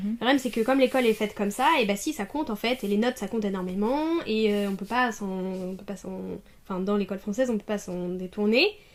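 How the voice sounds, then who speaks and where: Against noticeable background noise, a woman rattles off her words very fast, her pitch varying in an ordinary way. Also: medium pitch for a woman. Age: 20s. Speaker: master's student in language teaching. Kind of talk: interview answer.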